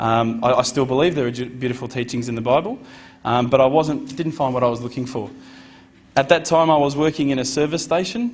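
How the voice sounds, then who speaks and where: Using an Australian accent, a man talks at a fairly quick pace. His pitch is medium with ordinary variation. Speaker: convert giving a talk. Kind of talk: personal testimony talk to an audience. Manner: casual, conversational with fillers.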